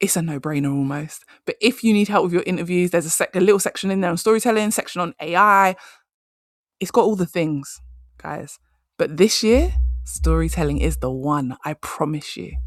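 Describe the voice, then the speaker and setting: A woman's animated, fairly quick delivery, dry and close with no echo, on a very clean recording with a silent background. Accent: English. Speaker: career coach podcast host. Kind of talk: solo podcast advice talk. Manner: fast.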